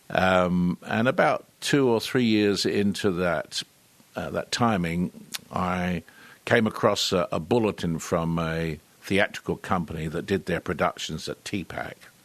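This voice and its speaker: A man with a British accent speaks at a fairly slow pace in a very deep, low voice, with ordinary pitch variation. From London, England. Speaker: actor. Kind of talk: interview. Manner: hesitant, many fillers.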